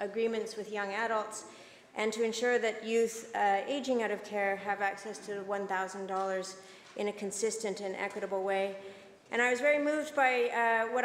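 A woman speaks at a moderate pace. There is audible room echo and light background noise. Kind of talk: formal speech in a legislature. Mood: earnest, moved. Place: hall. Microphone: podium.

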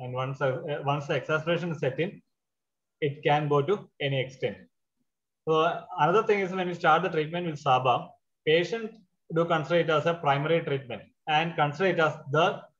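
A man at a fairly quick pace with ordinary pitch variation, against a quiet background. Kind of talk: lecture. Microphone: webcam.

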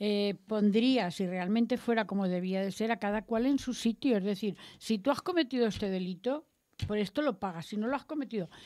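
A woman with a dark, mellow tone and a fairly high voice speaks at a fairly quick pace with ordinary pitch variation against a quiet background. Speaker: radio host. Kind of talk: panel discussion. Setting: radio studio. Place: studio. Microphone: studio mic.

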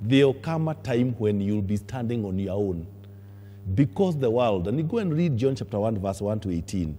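With music in the background, a man speaks in a fairly low pitch with lively intonation. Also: moderate pace. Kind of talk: sermon. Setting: church. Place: church.

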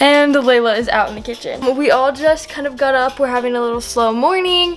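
A woman talks at a fairly quick pace with a high pitch and ordinary pitch variation. Faint background noise sits behind her.

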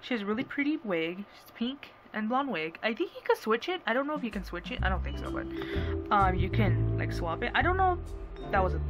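Clear music plays in the background. A woman speaks at a fairly quick pace, with big swings in loudness. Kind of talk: casual haul vlog chat. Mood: excited. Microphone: phone near.

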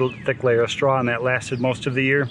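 Light background noise sits under a man's voice, which sounds dry with no echo. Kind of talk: casual vlog tutorial. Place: garden.

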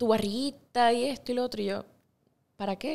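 A woman at a moderate pace with ordinary pitch variation. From Puerto Rico (Ponce, San Germán); Puerto Rico. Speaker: actress and singer; actress. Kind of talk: interview. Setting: studio. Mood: relaxed, storytelling. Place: studio. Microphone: studio mic.

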